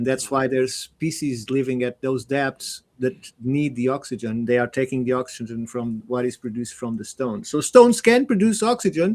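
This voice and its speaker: A man with a non-native accent talks at a moderate pace with hardly any pauses. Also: medium pitch for a man, ordinary pitch variation. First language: not English. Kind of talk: panel discussion. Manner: halting.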